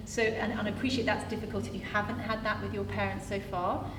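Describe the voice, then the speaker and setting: A woman talks at a fairly quick pace. Noticeable background noise and audible room echo surround her voice. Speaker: employment lawyer. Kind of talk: panel discussion. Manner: fast.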